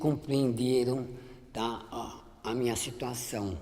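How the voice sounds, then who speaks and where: Through audible room echo, a woman speaks at a very slow pace in a very deep, low pitch with a dark, mellow tone and fairly even intonation. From Brazil, São Paulo interior (Limeira). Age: 60s. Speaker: image consultant. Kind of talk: testimony. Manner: halting, frequent repetitions.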